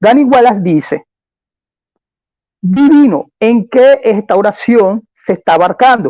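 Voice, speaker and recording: A man with an extremely high pitch and a dark, mellow tone speaks at a very slow pace, in a dry, close sound with no echo. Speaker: apologist in a debate. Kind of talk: formal debate.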